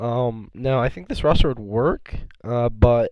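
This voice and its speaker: Speaking at a moderate pace, a man keeps a medium pitch with monotone, flat intonation. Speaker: gaming esports youtuber. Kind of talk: casual commentary video. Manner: talking louder than usual.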